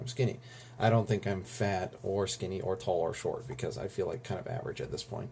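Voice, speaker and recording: Fairly quick speech from a man, fairly low and dark, mellow in tone, with vocal fry. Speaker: vlogger. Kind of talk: casual vlog monologue. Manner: fast.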